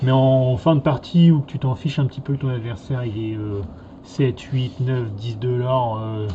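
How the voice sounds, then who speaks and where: A man talks with medium pitch, ordinary variation in that pitch, and a moderate pace. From Normandy, France. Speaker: card game youtuber. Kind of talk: casual chat.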